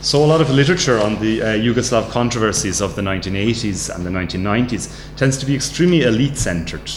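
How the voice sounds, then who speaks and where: At a very fast pace, a man with an Irish accent and a fairly low pitch uses lively intonation amid audible room echo and noticeable background noise. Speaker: academic researcher. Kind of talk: lecture. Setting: studio. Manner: halting.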